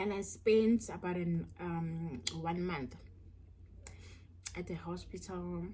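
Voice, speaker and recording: A woman's somewhat breathy voice, fairly low in pitch, at a very slow pace with audible room echo. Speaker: mukbang YouTuber. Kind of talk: storytelling while eating. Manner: halting, repeats words.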